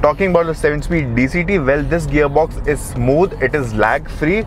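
Over music in the background, a man speaks at a fairly slow pace with ordinary pitch variation, and the sound is dry with no echo. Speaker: car reviewer. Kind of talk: car review commentary. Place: car.

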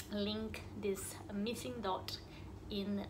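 A woman speaks while noticeable background noise is heard behind her. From Brazil. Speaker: dental therapist. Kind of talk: channel introduction. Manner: hesitant, many fillers. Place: office. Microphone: phone near.

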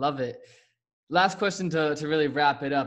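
Fairly quick speech from a man, quiet background behind him. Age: young. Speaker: podcast host. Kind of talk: casual interview. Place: home room. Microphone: studio mic.

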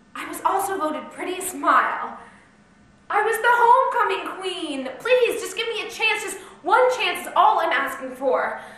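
Amid audible room echo, a woman talks at a moderate pace in an extremely high pitch, her intonation lively and her loudness swinging widely. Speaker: actor playing an auditioning hopeful. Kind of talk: acted scene, pleading monologue. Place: stage. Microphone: camera far.

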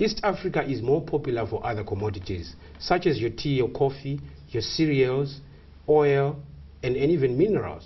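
A man with a fairly high voice talks at a moderate pace, his lively intonation roughened by vocal fry. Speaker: exchange strategist. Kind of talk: tv interview. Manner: halting. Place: studio.

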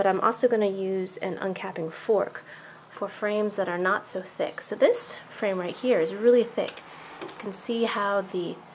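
Fairly even intonation marks a woman's moderate-paced speech, with light noise in the background. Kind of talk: tutorial vlog. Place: home room. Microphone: phone near.

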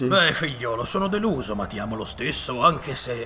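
A pompous-sounding man at a medium pitch, his voice making very wide pitch swings, against clear background noise. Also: moderate pace. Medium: fan dub. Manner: pompous, exasperated.

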